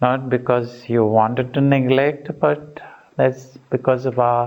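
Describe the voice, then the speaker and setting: A man with an unremarkable speaking voice talks slowly, at medium pitch with fairly even intonation. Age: 60s. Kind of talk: retreat talk.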